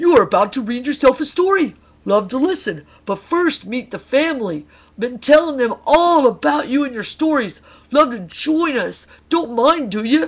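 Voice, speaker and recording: A woman's put-on character voice, high-pitched, at a moderate pace. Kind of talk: bedtime story. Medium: read story. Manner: clipped, cheery, presumptuous.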